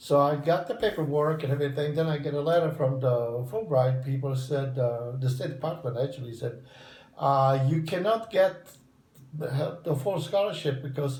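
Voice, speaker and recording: A somewhat breathy voice at a moderate pace with ordinary pitch variation. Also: man. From southern Italy. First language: Italian. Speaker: retired English professor. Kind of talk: interview answer.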